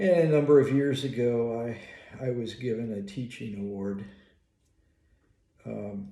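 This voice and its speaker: The speaker goes at a fairly slow pace with long, frequent pauses and lively intonation. Loudness swings widely, and room echo is audible. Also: man, medium pitch for a man. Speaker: psychologist and college professor. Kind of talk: casual monologue. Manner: halting.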